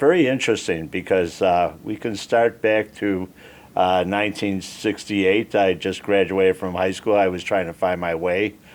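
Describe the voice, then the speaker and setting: A man's very deep, low voice carries fairly even intonation at a moderate pace. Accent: strong Chicago. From Chicago, Northwest Side. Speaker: army veteran. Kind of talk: interview.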